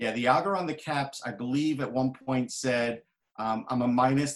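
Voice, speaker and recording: An American accent marks this man's normal speaking voice. He talks at medium pitch and a moderate pace, with ordinary pitch variation. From New York. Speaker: hockey journalist and author. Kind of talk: casual chat.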